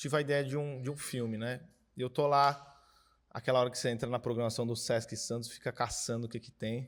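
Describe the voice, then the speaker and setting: On a very clean recording with a silent background, a man speaks in a plain, everyday voice at a medium pitch with fairly even intonation. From Brazil, Cubatão, São Paulo coast. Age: 20s. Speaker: filmmaker and philosophy teacher. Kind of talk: panel discussion. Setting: screening venue with audience.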